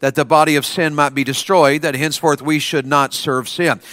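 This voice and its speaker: A man's fairly high, bright and sharp voice with an energetic tone, on a very clean recording with a silent background. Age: 50s. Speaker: Baptist preacher. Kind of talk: chapel revival sermon to a student audience, with call-and-response. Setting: school chapel with audience. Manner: energetic, coaxing the crowd with repeated questions and amens; rhythmic King James scripture reading, sometimes stumbling and restarting.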